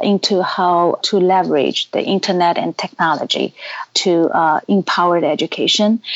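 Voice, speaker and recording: A woman with a Chinese accent speaks at a moderate pace. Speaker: education company executive.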